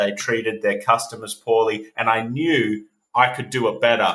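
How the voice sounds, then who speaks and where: Talking at a moderate pace with an Australian accent, a man with a medium pitch and a bright, sharp tone keeps his intonation fairly even. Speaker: entrepreneur, agency CEO. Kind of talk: podcast interview.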